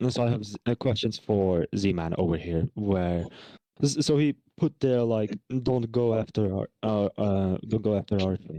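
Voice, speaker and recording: Against a quiet background, a man speaks at a moderate pace in a dark, mellow tone, fairly low in pitch and with ordinary pitch variation. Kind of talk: heated debate. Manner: halting.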